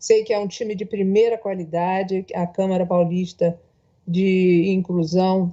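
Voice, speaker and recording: A woman speaks at a fairly low pitch. Her intonation is monotone and flat, at a fairly slow pace. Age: 60s. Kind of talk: panel speech.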